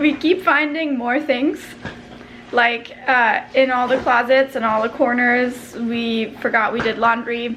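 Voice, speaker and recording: A high-pitched woman's voice with fairly even intonation, plus noticeable background noise. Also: fairly slow pace. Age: 20s. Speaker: vlogger. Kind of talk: casual talk to camera.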